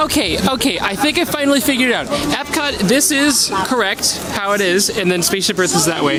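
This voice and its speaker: Over background music and audible room echo, a man with an American accent uses a raised, projected voice at a fairly quick pace, his tone animated, his loudness very even, with hardly any pauses and very wide pitch swings. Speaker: travel vlogger. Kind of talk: travel vlog narration. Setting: outdoors.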